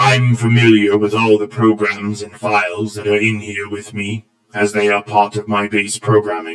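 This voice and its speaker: Put-on character voice from a man, fairly low in pitch and monotone, flat in intonation, at a moderate pace with hardly any pauses. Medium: read story. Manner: formal, precise, polite.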